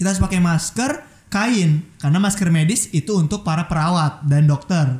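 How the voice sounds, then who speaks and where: The speech comes at a fairly quick pace with lively intonation. Noticeable background noise is present. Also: man. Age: 20s. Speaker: podcast host. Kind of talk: casual chat.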